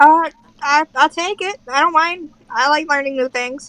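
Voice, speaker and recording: A high-pitched, put-on character voice moves along at a moderate pace. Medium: actual play. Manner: hesitant, stammering.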